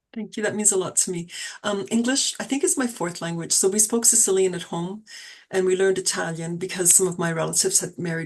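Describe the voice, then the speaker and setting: A woman with a Canadian accent and a medium pitch talks at a very fast pace in a somewhat breathy voice. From Toronto, Canada. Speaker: poet. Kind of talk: poetry reading; casual chat. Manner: steady cadence.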